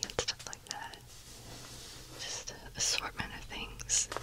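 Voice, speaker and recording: A woman is whispering. Every word comes out as a whisper. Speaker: ASMR creator. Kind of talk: ASMR beauty haul, casual talk to camera. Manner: whispered, soft-spoken. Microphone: studio mic.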